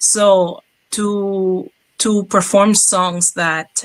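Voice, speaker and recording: This is a woman speaking. She has a strong Cuban accent. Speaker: jazz singer. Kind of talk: interview. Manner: halting.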